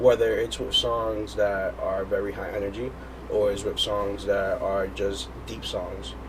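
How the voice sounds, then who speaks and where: A man speaks fairly slowly, with audible room echo and noticeable background noise. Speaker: rapper and singer. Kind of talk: interview. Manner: energetic.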